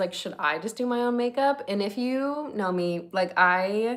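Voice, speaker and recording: Medium pitch from a woman with an American accent. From Northern California. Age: 20s. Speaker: lifestyle content creator. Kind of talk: casual livestream chat. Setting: livestream. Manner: animated.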